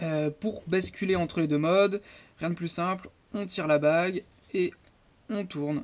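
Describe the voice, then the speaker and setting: The speech goes at a fairly slow pace, broken by long, frequent pauses. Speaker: airsoft YouTuber reviewing gear. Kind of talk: product review. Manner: hesitant, many fillers.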